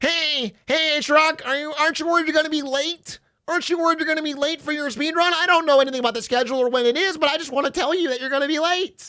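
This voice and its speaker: A man talks at a very fast clip in a put-on character voice. His pitch is extremely high, with a whiny edge. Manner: annoying, mocking.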